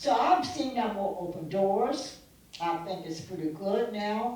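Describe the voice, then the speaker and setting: With lively intonation and a fairly slow pace, a woman speaks through audible room echo and noticeable background noise. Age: 80s+. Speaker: civil rights activist. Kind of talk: speech. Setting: stage with audience.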